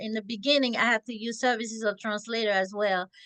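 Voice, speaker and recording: A woman speaks at a fairly high pitch with a strong French accent. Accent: thick French. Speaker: podcast host. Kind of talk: interview. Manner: talkative.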